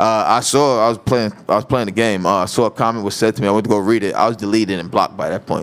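There is noticeable background noise as a man talks very fast with hardly any pauses. His pitch is fairly low and his intonation fairly even. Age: 30s. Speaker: podcast host. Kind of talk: casual chat.

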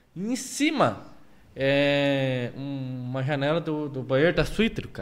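A man with an ordinary speaking voice talks at a fairly slow pace, his fairly high pitch rising and falling in a lively way. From Curitiba, Brazil. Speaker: podcast host. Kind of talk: casual chat. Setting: studio.

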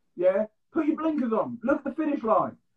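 This man speaks with an English accent at a fairly quick pace. His pitch varies in an ordinary way. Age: 20s. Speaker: podcast host. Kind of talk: casual chat.

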